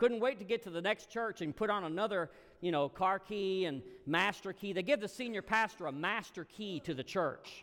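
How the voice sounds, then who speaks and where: An American accent at a moderate pace, with ordinary pitch variation. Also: man, high pitch for a man. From US South, Alabama. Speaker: guest preacher. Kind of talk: sermon.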